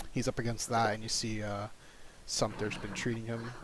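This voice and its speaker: Soft-spoken, a man talks at a very fast pace and a medium pitch. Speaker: tabletop game master. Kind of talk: tabletop roleplay narration.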